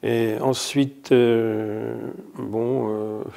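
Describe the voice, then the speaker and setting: A man's monotone, flat delivery at medium pitch, with a dark, mellow tone. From France, Morvan (Burgundy). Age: 70s. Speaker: association founder, volunteer. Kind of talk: interview testimony.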